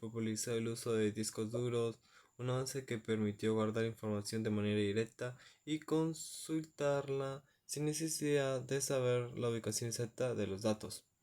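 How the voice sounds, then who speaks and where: A man of medium pitch at a moderate pace, with fairly even intonation. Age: 20s. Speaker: university student. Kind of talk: class presentation. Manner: halting.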